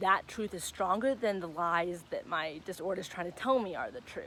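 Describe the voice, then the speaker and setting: In a normal speaking voice, a woman talks at a fairly quick pace with ordinary pitch variation. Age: 20s. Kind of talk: casual talk to camera. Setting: outdoors. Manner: upbeat, encouraging.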